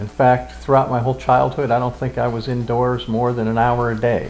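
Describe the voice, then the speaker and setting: Music plays behind a man speaking at a moderate pace. His pitch sits in the medium range. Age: 70s. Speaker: interviewee recalling childhood. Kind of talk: oral history interview.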